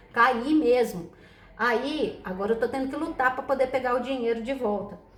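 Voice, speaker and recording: Noticeable background noise and audible room echo surround a woman with a high pitch who speaks in an animated tone at a moderate pace. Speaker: tarot reader. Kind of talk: casual chat. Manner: soft-spoken.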